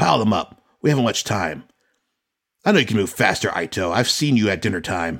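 A man puts on a booming character voice with fairly low pitch. He speaks at a fairly quick pace. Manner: bold, jovial.

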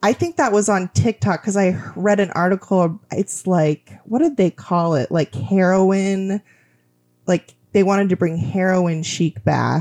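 At a fairly slow pace, a woman of medium pitch talks in an unremarkable speaking voice with ordinary pitch variation and very even loudness, the sound dry and close with no echo. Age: 30s. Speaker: podcast guest. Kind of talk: casual chat.

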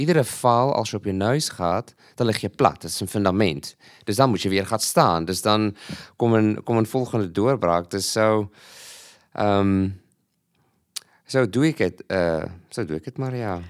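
On a very clean recording with a silent background, a man with a fairly low pitch speaks with ordinary pitch variation and long, frequent pauses. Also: fairly slow pace. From Malawi, South African parents. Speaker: lecturer and food security project developer. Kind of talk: casual interview. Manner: halting, many fillers and repeats.

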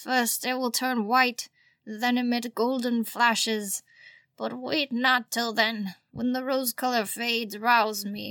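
In a put-on character voice, a female-sounding woman speaks at a fairly high pitch on a very clean recording with a silent background. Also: fairly slow pace. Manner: commanding yet weary.

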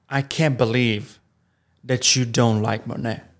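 In an Italian accent, a man at medium pitch talks at a very slow pace with monotone, flat intonation. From Italy. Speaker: improv performer. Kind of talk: casual interview chat. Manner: halting, searching for words.

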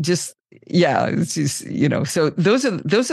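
A woman's fairly quick speech with very wide pitch swings and vocal fry. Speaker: podcaster. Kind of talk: casual chat.

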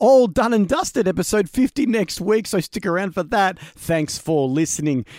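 Music plays in the background as a man talks with an Australian accent. His pitch is high and his intonation lively. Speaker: podcast host. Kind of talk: casual interview chat; podcast outro. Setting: home studio.

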